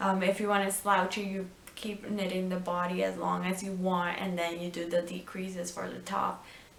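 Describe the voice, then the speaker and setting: A woman with a non-native accent, medium pitch and fairly even intonation, at a moderate pace, amid noticeable background noise and audible room echo. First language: not English. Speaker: knitting and crafts video host. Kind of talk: casual tutorial show-and-tell. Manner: halting, many ums and restarts.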